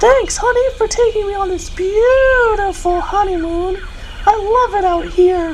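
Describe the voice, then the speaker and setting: A female-sounding cartoonish character voice at an extremely high pitch speaks at a fairly slow pace over clear background noise. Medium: puppet.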